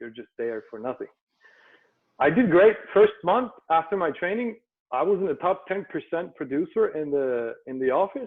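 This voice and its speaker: Very wide pitch swings at a moderate pace, with a Turkish accent. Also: man. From Turkey, Istanbul. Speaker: entrepreneur. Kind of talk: interview. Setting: video call.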